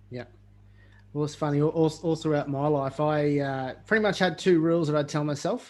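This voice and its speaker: This man has an Australian accent and a fairly high pitch. He talks at a fairly quick pace with fairly even intonation. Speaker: podcast host. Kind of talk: podcast interview. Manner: hesitant, many fillers.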